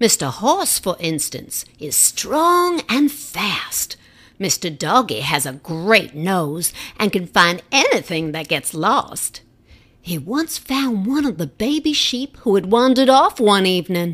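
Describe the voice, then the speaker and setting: A put-on character voice, female-sounding, with a warm tone at medium pitch. It moves at a fairly slow pace with very wide pitch swings. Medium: read story. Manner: warm, motherly.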